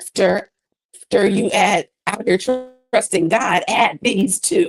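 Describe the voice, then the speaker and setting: A woman's fairly high voice with lively intonation at a very slow pace, music in the background. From US Midwest (East St. Louis, Illinois). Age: 40s. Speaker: gospel singer. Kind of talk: interview. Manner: animated.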